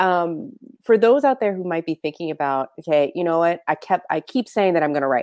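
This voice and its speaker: A woman's fairly low, normal speaking voice, fairly quick and lively in intonation, dry and close with no echo. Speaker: podcast host. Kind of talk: casual interview chat.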